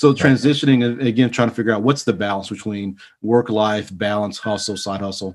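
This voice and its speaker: On a very clean recording with a silent background, a man with a Texan accent talks at a fairly quick pace, fairly low in pitch, with fairly even intonation. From Texas. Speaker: leather goods maker and entrepreneur. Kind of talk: casual interview.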